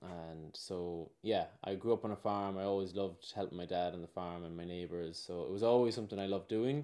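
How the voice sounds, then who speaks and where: In an Irish accent, a man with a very deep, low pitch and ordinary pitch variation talks at a fairly quick pace with hardly any pauses. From Ireland. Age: 30s. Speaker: regenerative farmer and former pro surfer. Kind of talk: casual interview chat.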